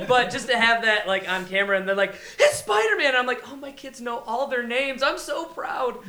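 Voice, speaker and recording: Over noticeable background noise, a man with an extremely high pitch uses a raised, projected voice, talking at a fairly quick pace with hardly any pauses. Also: ordinary pitch variation. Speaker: podcast co-host. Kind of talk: casual banter, drunken comedy chat.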